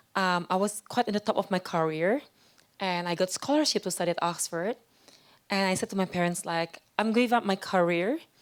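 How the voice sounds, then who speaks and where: With an Indonesian accent, a woman talks at a fairly quick pace and medium pitch, her pitch varying in an ordinary way and her loudness very even, on a very clean recording with a silent background. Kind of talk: interview testimony. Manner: halting, with fillers and repeats.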